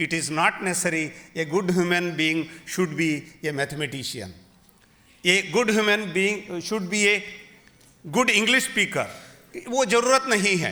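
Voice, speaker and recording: A high-pitched man's voice, full of long, frequent pauses. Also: lively intonation, fairly slow pace. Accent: Kannada. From Karnataka, India. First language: Kannada. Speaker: university vice chancellor. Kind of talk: formal speech at literary festival.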